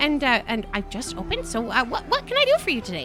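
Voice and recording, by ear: A put-on character voice over loud music in the background. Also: female-sounding voice.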